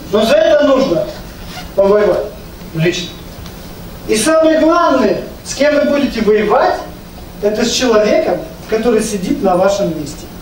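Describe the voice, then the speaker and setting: Animated and swinging very widely in pitch, a man with a high voice talks at a moderate pace with long, frequent pauses, amid light background noise and audible room echo. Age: 50s. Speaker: network marketing leader. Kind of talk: business presentation. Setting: live event with microphone, audience. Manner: animated, persuasive. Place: meeting room.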